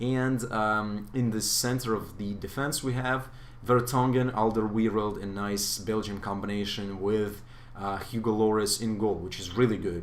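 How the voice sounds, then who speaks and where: A man talks at a moderate pace in a fairly low pitch with fairly even intonation. The room echo is audible. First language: not English. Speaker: gaming youtuber. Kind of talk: gameplay commentary. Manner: hesitant, many fillers.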